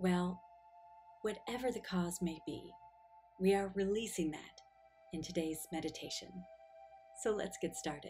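Faint music plays in the background as a woman speaks at a fairly slow pace with a fairly low pitch, ordinary pitch variation, and long, frequent pauses. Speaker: guided meditation guide. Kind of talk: guided meditation narration. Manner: slow, calm, soothing, with long pauses. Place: home room. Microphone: lapel.

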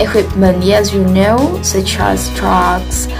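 A woman with an Indonesian accent, clear music playing in the background. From Solo, Central Java, Indonesia. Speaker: university student. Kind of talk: class presentation on a company. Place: home room. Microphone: phone near.

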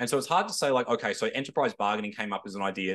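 A man at a very fast pace, over a quiet background. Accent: Australian. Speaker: historian panellist. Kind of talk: panel discussion.

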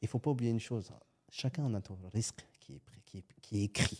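Fairly quick in pace, a man speaks with a fairly low pitch, a dark, mellow tone and ordinary pitch variation. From France, Algerian family. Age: 30s. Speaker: entrepreneur. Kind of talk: casual interview.

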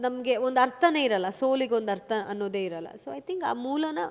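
A woman speaks at a fairly high pitch. Her voice swings very widely in pitch. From Kodagu (Coorg), Karnataka, India. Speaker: film actress. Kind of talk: interview.

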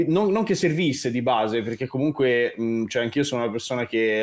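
A man with a slight Tuscan accent. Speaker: composer. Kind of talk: casual chat.

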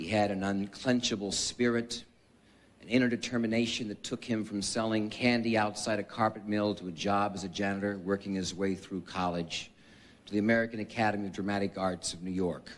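In an unremarkable speaking voice, a man talks at a fairly quick pace with a fairly low pitch and fairly even intonation. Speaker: presenter. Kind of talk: formal tribute speech. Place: hall. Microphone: podium.

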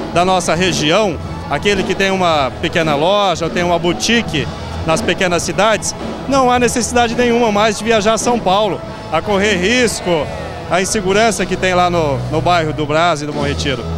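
A man speaks at a moderate pace over clear background music, the sound dry with no echo. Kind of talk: interview answer. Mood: upbeat, promotional. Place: shop. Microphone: handheld.

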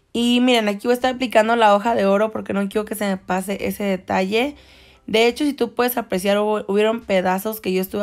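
Over a silent background in a very clean recording, the speech runs at a very fast pace with fairly even intonation. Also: woman. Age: 20s. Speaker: nail artist and beauty YouTuber. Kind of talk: tutorial.

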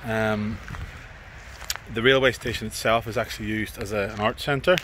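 Light background noise sits under a man talking at a moderate pace with ordinary pitch variation. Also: dry sound with no echo. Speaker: urban explorer vlogger. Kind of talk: casual vlog chat. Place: station.

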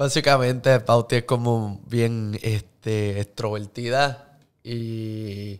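At a very slow pace, a man speaks at a medium pitch with fairly even intonation. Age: 30s. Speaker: social media influencer and actor; podcast guest. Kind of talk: casual interview. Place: studio. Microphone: studio mic.

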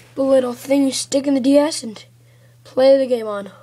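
A woman speaks in a high pitch. Noticeable background noise runs under her voice. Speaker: YouTube gamer. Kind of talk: video unboxing, casual.

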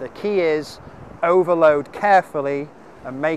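A man speaks with ordinary pitch variation in a dry recording with no echo and light background noise. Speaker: fitness coach. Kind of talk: tutorial. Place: beach.

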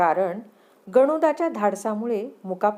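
Intonation here is lively. An unforced reading voice carries it.

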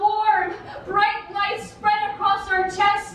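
Over light background noise and audible room echo, a woman speaks at an extremely high pitch. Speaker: poet performer. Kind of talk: poetry reading. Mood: intense emotional delivery.

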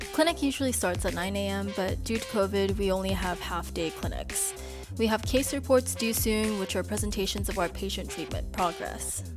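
A woman's voice moves at a moderate speed while music sounds behind her. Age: 20s. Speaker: orthodontics resident. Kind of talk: vlog voiceover narration.

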